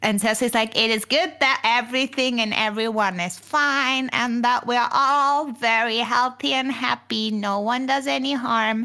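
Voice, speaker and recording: In a put-on character voice, the speaker goes at a moderate pace with very even loudness and hardly any pauses. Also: woman, high pitch for a woman, ordinary pitch variation. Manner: loudly, artificially cheerful.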